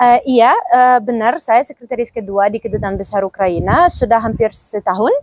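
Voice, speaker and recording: In a dry, close recording with no echo, a woman with a fairly high pitch and ordinary pitch variation talks with hardly any pauses. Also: moderate pace. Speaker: diplomat. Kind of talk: podcast interview. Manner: halting.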